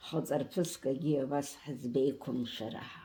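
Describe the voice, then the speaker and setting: A woman speaks at a very slow pace with a very deep, low pitch. Her pitch variation is ordinary. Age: 80s+. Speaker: elderly relative interviewee. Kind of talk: casual chat.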